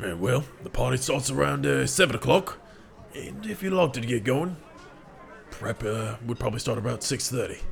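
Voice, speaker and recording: A man uses a raspy, put-on character voice at a medium pitch. He keeps a moderate pace over clear background noise. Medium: actual play. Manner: gruff, blunt.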